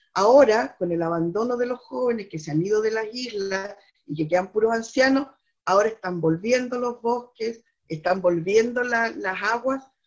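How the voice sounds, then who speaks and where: With lively intonation and a fairly high pitch, a woman uses a normal speaking voice at a moderate pace. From southern Chile. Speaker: poet and teacher. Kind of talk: interview. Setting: remote from home.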